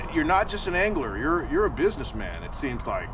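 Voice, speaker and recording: Lively intonation marks this man's speech, heard through noticeable background noise. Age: 60s. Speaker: tournament bass angler and podcast host. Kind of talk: casual interview chat. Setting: outdoors at a lake.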